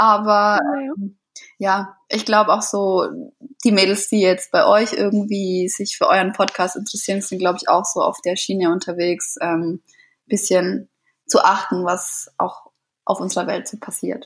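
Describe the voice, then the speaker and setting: The woman's pitch sits in the middle range, and her voice is somewhat breathy. She speaks at a fairly slow pace with fairly even intonation. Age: 20s. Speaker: florist and set designer. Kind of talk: interview.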